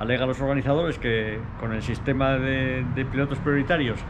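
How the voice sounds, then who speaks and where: Against noticeable background noise, a man speaks at a fairly high pitch with fairly even intonation. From Spain. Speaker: motorsport commentator; motorsport reporter. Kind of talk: on-location reporting. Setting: outdoors.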